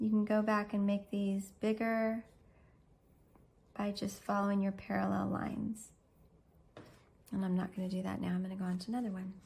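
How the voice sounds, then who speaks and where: Speaking at a fairly quick pace yet with long, frequent pauses, a woman sounds somewhat breathy, her medium-pitched voice flat and monotone. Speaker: art teacher. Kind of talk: tutorial.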